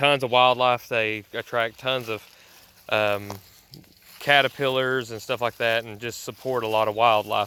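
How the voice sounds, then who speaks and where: A man with a Southern US accent and fairly even intonation. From US South. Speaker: homesteader YouTuber. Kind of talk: casual vlog tutorial. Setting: outdoors. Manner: casual with fillers and stammers.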